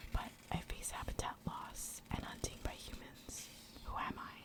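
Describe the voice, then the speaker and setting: Someone whispers at a moderate pace with noticeable background noise. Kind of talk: reading a riddle-style trivia card aloud. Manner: soft-spoken, whispered.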